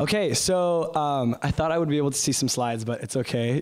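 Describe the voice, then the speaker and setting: A man talks at a fairly quick pace, his pitch varying in an ordinary way. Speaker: guest. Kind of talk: opening prayer, then sermon-style talk. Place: church. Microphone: handheld.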